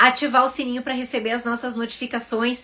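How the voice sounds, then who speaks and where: The speaker has a southern Brazilian accent. The pace is fairly quick. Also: woman. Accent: southern Brazilian (gaúcho). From southern Brazil (Rio Grande do Sul). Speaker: dermatologist. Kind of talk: educational video talk to camera.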